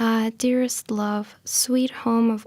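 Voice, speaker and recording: Soft-spoken and gentle, a woman talks at a very slow pace in a dark, mellow tone with monotone, flat intonation. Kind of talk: poetry reading. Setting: studio, library room. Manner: soft-spoken, gentle.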